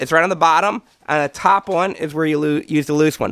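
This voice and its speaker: The voice moves at a fairly quick pace with a bright, sharp tone and ordinary pitch variation, the sound dry and close with no echo. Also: man. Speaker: car mechanic DIY youtuber. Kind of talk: tutorial. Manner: casual.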